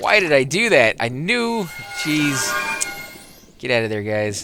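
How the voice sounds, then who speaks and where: Music plays in the background as a man speaks with an American accent. His pitch swings very widely. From United States. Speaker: gaming video creator. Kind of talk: let's play commentary. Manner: casual, rambling with fillers.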